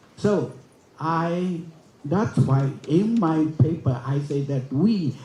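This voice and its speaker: The man's pitch is fairly high and his intonation lively. Audible room echo fills the recording. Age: 80s. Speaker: forum speaker. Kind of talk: conference speech. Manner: halting.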